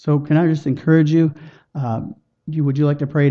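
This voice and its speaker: This man speaks at a very fast pace in a fairly high pitch. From Chilliwack, British Columbia, Canada. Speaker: lay evangelist. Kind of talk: witnessing demonstration.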